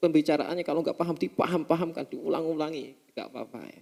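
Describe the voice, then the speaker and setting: A man's voice, fairly high in pitch. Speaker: Islamic preacher teaching a religious text. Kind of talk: religious study lecture. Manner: halting, with self-corrections.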